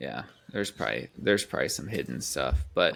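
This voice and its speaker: Recorded very clean against a silent background, a man with a slight Midwestern accent speaks in a fairly low voice with vocal fry. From US Midwest. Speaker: podcast co-host. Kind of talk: casual chat.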